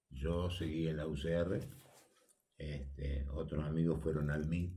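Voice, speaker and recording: A man talks at a fairly slow pace in a very deep, low voice with a dark, mellow tone and a somewhat breathy quality. His intonation is monotone and flat, and audible room echo surrounds him. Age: 80s+. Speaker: retired politician and sports official. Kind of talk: radio interview. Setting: radio studio.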